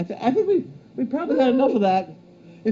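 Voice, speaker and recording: A man with an extremely high pitch and very wide pitch swings talks at a very fast pace over noticeable background noise. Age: 70s. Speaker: show host reading viewer mail. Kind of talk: casual chat, reading mail aloud.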